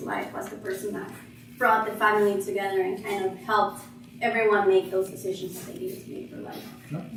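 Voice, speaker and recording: A woman with a Spanish accent speaks at a fairly quick pace and medium pitch. Audible room echo and noticeable background noise fill the recording. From Guatemala. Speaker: interviewee. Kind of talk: interview.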